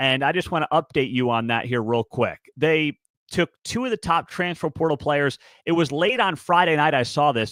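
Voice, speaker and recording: On a very clean recording with a silent background and a dry, close sound with no echo, a man with a fairly high pitch speaks at a moderate pace in an animated tone with lively intonation. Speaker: college sports show host. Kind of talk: solo sports commentary.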